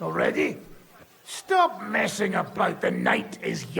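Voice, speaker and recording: Putting on a gruff character voice, a man speaks at a fairly slow pace. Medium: video game. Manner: gruff, irritable.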